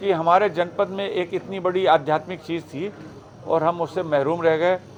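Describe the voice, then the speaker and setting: A man amid noticeable background noise. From Uttar Pradesh, Shahjahanpur. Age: 60s. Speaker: meditation trainer. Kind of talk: talk to audience. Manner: conversational, with fillers.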